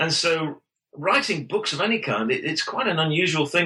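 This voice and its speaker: A man with an English accent talks at a fairly quick pace. His pitch varies in an ordinary way. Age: 50s. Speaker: pastor and author. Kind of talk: interview. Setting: podcast interview.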